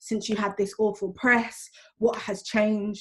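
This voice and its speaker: A woman speaks with a medium pitch. Her voice is somewhat breathy. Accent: British. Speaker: teacher and school governor. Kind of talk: panel discussion. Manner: fast; animated.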